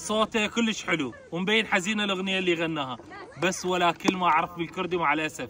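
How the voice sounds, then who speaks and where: Amid noticeable background noise, a man with a high pitch talks at a fairly quick pace. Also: ordinary pitch variation. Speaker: travel vlogger. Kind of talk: vlog narration. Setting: outdoors.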